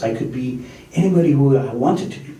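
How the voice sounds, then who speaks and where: Speaking in a fairly high voice, a man is heard with audible room echo and noticeable background noise. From immigrant, grew up abroad. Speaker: political candidate. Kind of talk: panel discussion.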